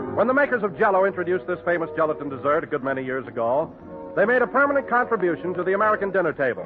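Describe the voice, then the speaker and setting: With music in the background, a man talks at a very fast pace and high pitch, his pitch swinging very widely. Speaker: radio announcer. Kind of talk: radio show announcement.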